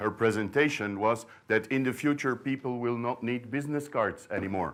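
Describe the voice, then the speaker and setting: Speaking with a Flemish Belgian accent, a man uses a medium pitch, ordinary pitch variation, and a moderate pace on a very clean recording with a silent background. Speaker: sourdough librarian, bread expert. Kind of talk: conference talk. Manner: hesitant, many fillers and repeats.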